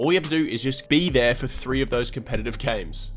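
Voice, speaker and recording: Over background music, a man talks at a very fast pace. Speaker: gaming content creator. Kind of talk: gaming guide narration.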